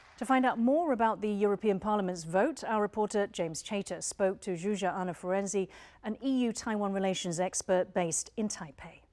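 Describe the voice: With a slightly mellow tone, a woman talks at a fairly quick pace with few pauses and ordinary pitch variation. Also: medium pitch for a woman.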